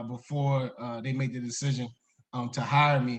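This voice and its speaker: Moving at a moderate speed, this speaker is a man with an American accent. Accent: Southern-tinged accent, getting thicker. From Maryland Eastern Shore (Pocomoke City). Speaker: high school principal. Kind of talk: casual interview chat. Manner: animated.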